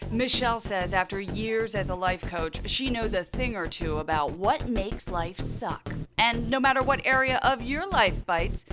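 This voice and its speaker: A woman speaks at a moderate pace in a fairly high pitch, with lively intonation and an upbeat tone over music in the background. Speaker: TV news reporter. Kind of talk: lifestyle segment host read. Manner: upbeat, breezy.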